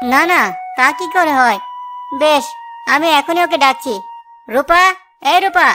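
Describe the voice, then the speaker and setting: Over faint background music, a cartoonish character voice talks at a moderate pace. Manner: earnest, easily flustered.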